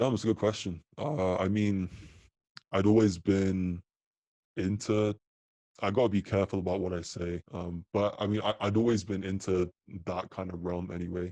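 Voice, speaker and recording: A man with a British accent speaks at a moderate pace, his very deep, low voice dark and mellow in tone with fairly even intonation. Long, frequent pauses break his speech, and the sound is dry and close with no echo against a quiet background. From UK. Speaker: apparel company co-founder. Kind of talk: podcast interview. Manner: casual, filler-heavy.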